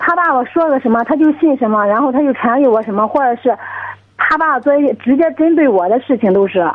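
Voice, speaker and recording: Over noticeable background noise, a woman speaks at a very fast pace with a high pitch, lively intonation and very even loudness. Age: 20s. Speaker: caller. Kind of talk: phone-in personal problem. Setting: phone call. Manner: halting. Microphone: crackly phone line.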